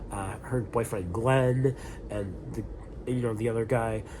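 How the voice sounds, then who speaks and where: Noticeable background noise sits behind the speech. A man talks at medium pitch with fairly even intonation. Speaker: film reviewer. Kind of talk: casual talk to camera. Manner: hesitant, filler-heavy.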